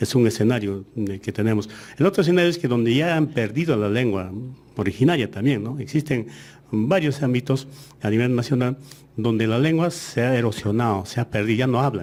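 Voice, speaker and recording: A man with an Andean accent, medium pitch, lively intonation and a fairly quick pace. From Aymara-speaking Andes, Peru. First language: Aymara (speaking Spanish). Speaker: education official. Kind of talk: radio interview. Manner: hesitant, many fillers.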